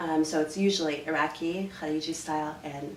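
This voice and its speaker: A woman with a Canadian accent, a very deep, low pitch, audible room echo and noticeable background noise. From Canada. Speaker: dance instructor. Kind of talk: interview. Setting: hotel room. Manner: animated.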